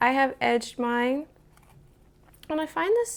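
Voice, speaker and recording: In a very clean recording with a silent background, a soft-spoken woman talks at a very slow pace. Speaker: tarot YouTuber. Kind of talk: casual show-and-tell video. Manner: quiet, soft-spoken.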